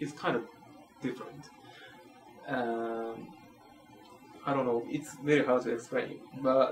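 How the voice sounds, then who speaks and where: In a Japanese accent, a man with a medium pitch talks at a fairly slow pace in a flat monotone, leaving long, frequent pauses against noticeable background noise. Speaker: professor. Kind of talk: interview. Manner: halting.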